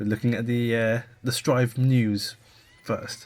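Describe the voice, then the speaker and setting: A man with a British accent and a monotone, flat intonation. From UK. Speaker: podcast co-host. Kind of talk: casual chat.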